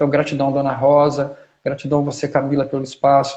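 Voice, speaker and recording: Somewhat breathy and fairly high-pitched, a man speaks at a fairly quick pace in a monotone, flat delivery. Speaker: historian and agroecology researcher. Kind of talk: live stream talk.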